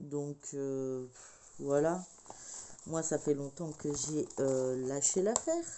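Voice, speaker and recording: Soft-spoken and very deep, a woman talks at a very slow pace with long, frequent pauses. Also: fairly even intonation. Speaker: crafting vlogger. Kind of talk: casual vlog chat. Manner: hesitant, many fillers.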